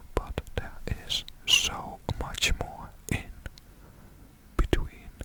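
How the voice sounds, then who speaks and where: A man's whisper at a very slow pace with a Dutch accent, over noticeable background noise. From Netherlands. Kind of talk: ASMR ramble. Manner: soft-spoken, whispered.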